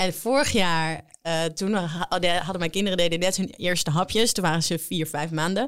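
A woman with an ordinary speaking voice talks at a moderate pace in a fairly low pitch, with ordinary pitch variation and hardly any pauses, on a very clean recording with a silent background. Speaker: cookbook author and actress. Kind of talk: casual chat.

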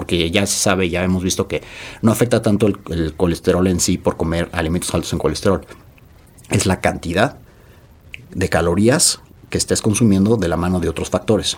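Very deep and low, a man's voice moves at a fairly quick pace with fairly even intonation. He pauses often and at length. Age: 40s. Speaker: nutrition expert and entrepreneur. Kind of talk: casual interview.

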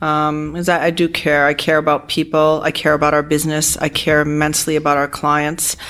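A woman's very deep, low voice with an American accent, flat and monotone, very even in loudness and with hardly any pauses. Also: fairly quick pace. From US Northeast, Providence, Rhode Island. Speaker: accounting firm partner. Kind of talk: interview.

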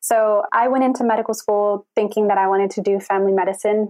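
Woman with a plain, everyday voice at medium pitch, fairly quick pace and fairly even intonation. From Texas, Houston. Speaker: medical student. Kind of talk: interview.

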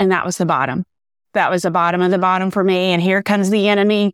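In a Southern US accent, a woman speaks at a medium pitch with monotone, flat intonation. The sound is dry and close, with no echo. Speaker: author. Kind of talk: testimony. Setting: video call.

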